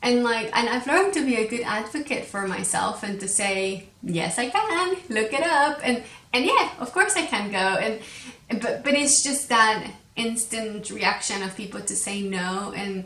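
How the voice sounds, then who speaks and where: Lively intonation and a Spanish accent are heard over noticeable background noise, with audible room echo. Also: woman, fairly high pitch for a woman, fairly slow pace. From Mexico. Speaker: podcast host, crochet designer. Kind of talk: casual podcast monologue. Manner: hesitant, many fillers and repetitions.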